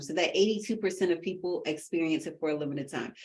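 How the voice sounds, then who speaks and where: The speaker is a woman. Her pitch is medium. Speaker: podcast co-host. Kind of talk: casual chat. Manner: fast.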